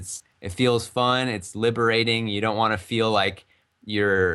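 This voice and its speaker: A man with an American accent speaks in a monotone, flat intonation. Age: 20s. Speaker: game developer. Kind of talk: interview. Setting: live stream interview. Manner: casual.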